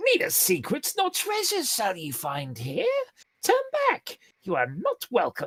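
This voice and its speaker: Someone talks at a moderate pace in a put-on character voice. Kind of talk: archaic. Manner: commanding, hostile.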